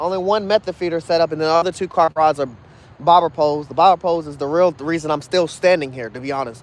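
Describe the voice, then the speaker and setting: A man speaks at a very fast pace in a fairly high pitch. His pitch variation is ordinary. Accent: American. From Kentucky. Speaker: fishing livestreamer. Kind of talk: casual livestream chat. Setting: outdoors at night, fishing.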